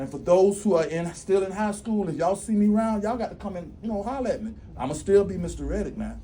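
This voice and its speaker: A man talks at a very fast pace. The room has an audible echo. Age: 60s. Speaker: school district executive director. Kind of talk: motivational speech. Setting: graduation ceremony with audience. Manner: animated.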